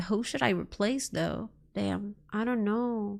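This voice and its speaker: A woman with a non-native accent speaks at a medium pitch and a fairly slow pace. The recording is very clean, with a silent background. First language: not English. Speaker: live streamer. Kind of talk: let's play commentary. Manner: animated.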